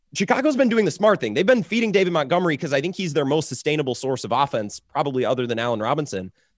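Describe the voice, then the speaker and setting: A man with an American accent, very fast pace, vocal fry and very wide pitch swings. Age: 20s. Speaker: sports radio host. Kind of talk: sports talk panel.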